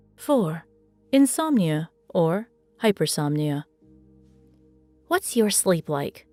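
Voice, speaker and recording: A woman's fairly slow speech with very wide pitch swings, dry and close with no echo, over background music. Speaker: voice actor. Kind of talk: educational explainer narration.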